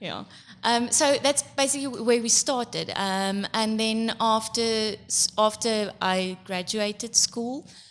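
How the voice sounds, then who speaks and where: A woman with an Afrikaans South African accent talks at a fairly slow pace in a fairly high pitch with fairly even intonation. The recording is very clean, with a silent background. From South Africa, eastern Free State. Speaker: accountant and makeup business owner. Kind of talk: podcast interview.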